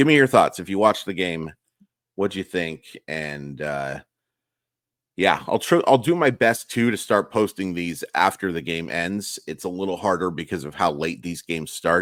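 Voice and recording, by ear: Raspy and low-pitched, a man talks at a moderate pace with a fairly bright tone and lively intonation.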